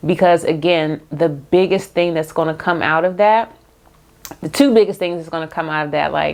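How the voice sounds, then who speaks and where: A woman speaks at a fairly low pitch. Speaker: YouTuber, lifestyle and faith vlogger. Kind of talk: casual unscripted talk to camera. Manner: fast; halting, repeats herself.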